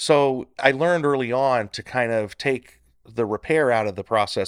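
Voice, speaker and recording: An ordinary speaking voice with an American accent and lively intonation comes through a very clean recording with a silent background and a dry, close sound with no echo. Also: man. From Northern California. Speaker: handyman business owner. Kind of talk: casual interview.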